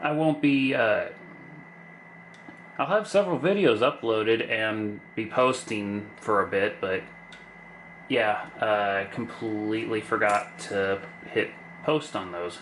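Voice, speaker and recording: Over noticeable background noise, a man at a medium pitch speaks at a very slow pace with long, frequent pauses. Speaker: lockpicking YouTuber. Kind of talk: casual tutorial-style narration while working. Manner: monotone.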